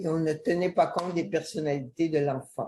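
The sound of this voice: With a dark, mellow tone, the voice moves at a moderate pace with fairly even intonation. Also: woman.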